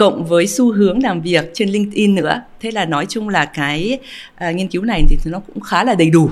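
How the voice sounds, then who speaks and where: A woman talks at a medium pitch and a moderate pace with ordinary pitch variation. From overseas Vietnamese. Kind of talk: interview. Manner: halting.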